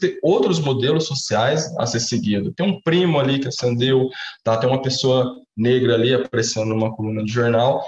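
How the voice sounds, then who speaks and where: A man's medium-pitched voice, fairly quick and with lively intonation, over noticeable background noise. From Brazil, Minas Gerais (Uberaba). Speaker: economist, researcher. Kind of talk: interview. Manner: hesitant, many fillers.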